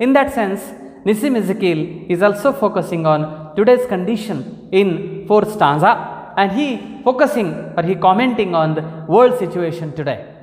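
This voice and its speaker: Noticeable noise fills the background. The talking moves at a moderate pace. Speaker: literature lecturer. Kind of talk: lecture to camera.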